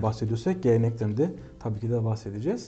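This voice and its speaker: A man talks at a very fast pace with a medium pitch. His tone is dark and mellow, and somewhat breathy. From Kahramanmaraş, Turkey. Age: 20s. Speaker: music conservatory researcher. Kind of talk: interview. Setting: studio. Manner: hesitant with frequent fillers.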